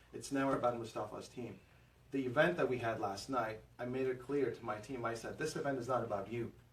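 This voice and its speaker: A man speaks at a medium pitch and a fairly quick pace. Audible room echo surrounds his voice. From Afghanistan and Pakistan, moved to Houston as teen. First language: Afghan language (English is fourth). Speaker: realtor, team lead. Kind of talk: podcast interview. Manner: hesitant, many fillers.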